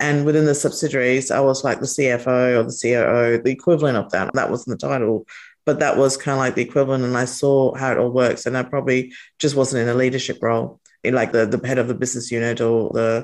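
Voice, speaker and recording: A woman with an Australian accent, very deep and low in pitch, flat and monotone, talking very fast against a quiet background. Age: 40s. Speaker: entrepreneur and company founder. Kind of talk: interview conversation.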